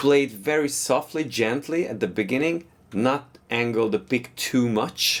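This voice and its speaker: A man with a non-native accent, medium-pitched, with lively intonation at a fairly slow pace. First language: not English. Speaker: guitar teacher. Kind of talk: tutorial.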